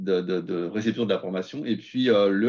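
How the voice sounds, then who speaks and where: A man is speaking. The background is quiet. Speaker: sales presenter. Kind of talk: webinar presentation. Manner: fast; hesitant, many fillers.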